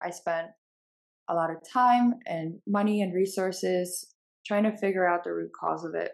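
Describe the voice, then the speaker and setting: With a New Jersey accent, a woman speaks in a medium pitch. She keeps a moderate pace. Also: fairly even intonation. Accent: American (New Jersey). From Bulgaria, moved to New Jersey as a child. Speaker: company co-founder. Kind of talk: casual interview.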